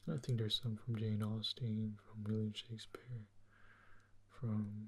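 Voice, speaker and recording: The voice is somewhat breathy and monotone, with flat intonation. It moves at a very slow pace. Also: man. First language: Portuguese. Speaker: ASMR creator. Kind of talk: ASMR soft-spoken commentary. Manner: soft-spoken; hesitant, with fillers.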